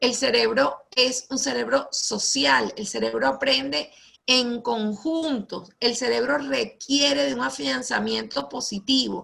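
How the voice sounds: At a fairly slow pace, a woman speaks with high pitch and a fairly bright tone, adding a slightly husky edge and vocal fry. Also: ordinary pitch variation.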